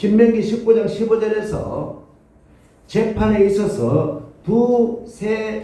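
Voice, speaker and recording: A man with high pitch speaks at a very slow pace. Audible room echo and noticeable background noise come through. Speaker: pastor. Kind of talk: sermon.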